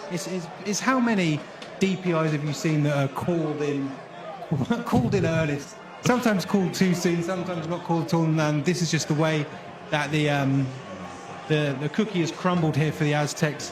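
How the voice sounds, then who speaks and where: Against noticeable background noise, a man talks at a fairly quick pace in a fairly high pitch with ordinary pitch variation. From British. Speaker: sports commentator. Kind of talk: live sports play-by-play commentary.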